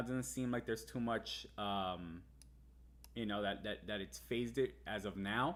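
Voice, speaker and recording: Ordinary pitch variation runs through speech at a fairly slow pace. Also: man. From US, Cuban-American family. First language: Spanish. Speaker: crypto market analyst streamer. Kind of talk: live stream market analysis. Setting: live stream. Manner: casual, halting with fillers.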